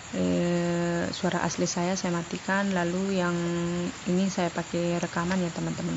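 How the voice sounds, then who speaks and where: There is audible room echo and noticeable background noise as a woman talks. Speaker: vlogger, stay-at-home mother. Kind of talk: vlog voiceover narration. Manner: chatty, talkative.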